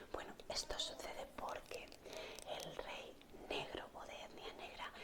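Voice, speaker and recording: A woman whispers over noticeable background noise. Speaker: art history teacher, ASMR creator. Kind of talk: whispered ASMR history lesson. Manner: whispered, soft.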